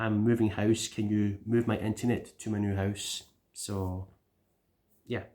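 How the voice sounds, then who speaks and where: In a very clean recording with a silent background, a man with a Scottish accent speaks in a fairly low voice with fairly even intonation. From Scotland. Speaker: YouTuber, gaming channel vlogger. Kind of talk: casual vlog update. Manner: rambling, chatty.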